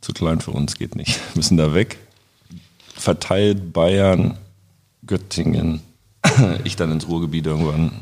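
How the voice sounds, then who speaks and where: A man speaks with a very deep, low voice and fairly even intonation. He goes at a fairly slow pace, with long, frequent pauses. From Germany, Braunschweig. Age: 30s. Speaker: roofer. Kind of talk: casual chat.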